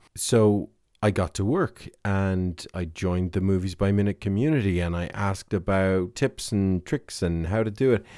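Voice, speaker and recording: In an Irish accent, a man with a fairly low pitch and a dark, mellow tone speaks on a very clean recording with a silent background. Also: ordinary pitch variation, moderate pace. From Ireland. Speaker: podcast host. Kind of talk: casual monologue. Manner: hesitant, with fillers.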